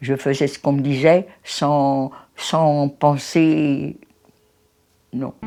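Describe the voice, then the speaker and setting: Over music in the background, a woman speaks very slowly in a very deep, low, monotone voice with flat intonation and long, frequent pauses. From France, Paris. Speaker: Holocaust survivor. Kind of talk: testimony. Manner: halting.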